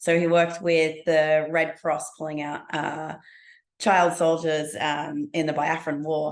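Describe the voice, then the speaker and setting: The speaker has an Australian accent and talks at a fairly slow pace. The intonation is monotone and flat. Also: woman, very deep, low pitch for a woman. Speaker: business speaker. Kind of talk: interview.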